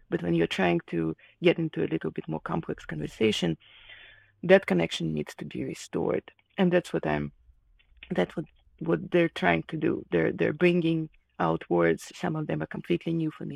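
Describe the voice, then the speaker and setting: A woman with a Russian accent talks at a moderate pace in a very deep, low pitch with very wide pitch swings, the sound dry and close with no echo in a very clean recording with a silent background. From Ukraine, Kharkiv. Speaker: illustrator. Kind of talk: casual interview conversation. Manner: halting, many fillers.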